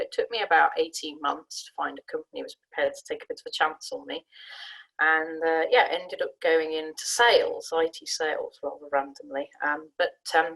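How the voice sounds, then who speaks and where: In a southern English accent, a woman talks at a fairly quick pace with big swings in loudness. The sound is dry and close, with no echo. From Sussex, southern England. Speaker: management consultant, career panelist. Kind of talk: career talk on a webinar panel. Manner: conversational with frequent fillers and restarts.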